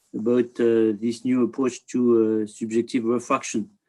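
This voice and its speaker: This is a man talking at a moderate pace. He has a French accent. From France. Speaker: optics industry director, presenter. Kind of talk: webinar presentation. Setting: online webinar. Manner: halting, many fillers.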